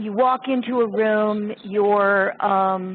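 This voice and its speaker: A woman speaks with a fairly high pitch. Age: 60s. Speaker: sculptor. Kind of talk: casual chat.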